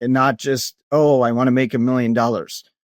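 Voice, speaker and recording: Fairly quick speech with a Minnesota accent and ordinary pitch variation, on a very clean recording with a silent background. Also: man, dry, close sound with no echo. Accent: Minnesota accent, noticeable. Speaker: company executive and Navy veteran. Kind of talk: interview.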